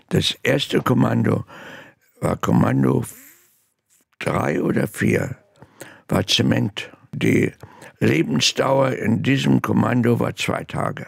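This man speaks very slowly, with long, frequent pauses. The sound is dry with no echo, and the background is quiet. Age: 80s+. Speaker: Holocaust survivor. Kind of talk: interview answer. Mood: earnest, animated recollection. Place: studio. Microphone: studio mic.

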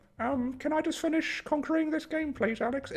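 High-pitched put-on character voice, moderately paced. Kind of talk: gameplay commentary. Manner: pleading. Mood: frustrated, joking.

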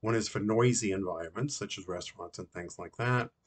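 The man's pitch varies in an ordinary way, and the background stays quiet. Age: 60s. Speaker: customer reviewer. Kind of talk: product testimonial. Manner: halting, with fillers and self-corrections. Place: home room. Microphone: webcam.

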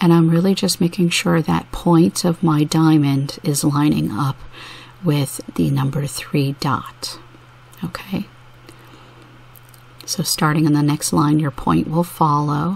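A soft-spoken woman with a very deep, low pitch talks in a soothing tone with ordinary pitch variation. Her pace is fairly slow, with long, frequent pauses. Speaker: mandala dot painting artist. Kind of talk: art tutorial narration. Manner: soft-spoken, soothing.

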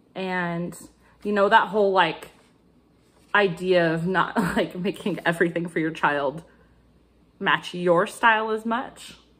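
A woman's fairly slow, fairly even delivery with long, frequent pauses. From United States. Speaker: crafting video creator; cross-stitch vlogger. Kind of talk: casual vlog chat. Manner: chatty with frequent fillers. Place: kitchen. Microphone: phone near.

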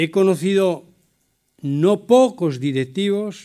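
This man's intonation is lively on a very clean recording with a silent background. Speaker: business executive and cooperative leader. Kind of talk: keynote talk. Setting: conference hall with audience. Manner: vehement.

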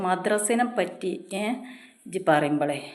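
There is audible room echo in this clip. A woman talks at a fairly low pitch. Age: 40s. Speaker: YouTube vlogger. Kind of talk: opinion vlog monologue.

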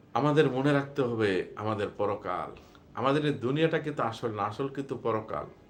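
Pitched in the middle range with normal rises and falls, the man speaks in an ordinary speaking voice. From Bangladesh, Cumilla. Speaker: Islamic preacher. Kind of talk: religious talk on a livestream. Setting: live stream.

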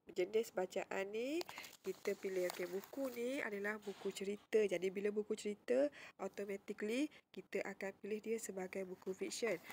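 A woman with an unremarkable speaking voice, medium pitch, ordinary pitch variation, a moderate pace, and a dry, close sound with no echo. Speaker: school librarian teacher. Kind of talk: tutorial. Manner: casual, frequent fillers like okey and uh.

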